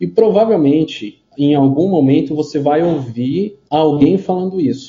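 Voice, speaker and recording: A man talks at a fairly slow pace with lively intonation and hardly any pauses, sounding somewhat breathy. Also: fairly high pitch for a man. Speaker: digital marketing consultant for healthcare. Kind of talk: casual interview. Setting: remote call over internet. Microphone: unstable internet connection.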